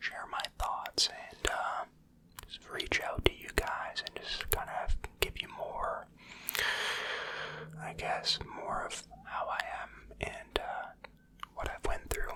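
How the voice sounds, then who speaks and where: A man whispers at a very slow pace, leaving long, frequent pauses. Noticeable background noise runs under his voice. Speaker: ASMR creator. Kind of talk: whispered ramble story time, personal confessional. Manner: whispered, soft-spoken, slow.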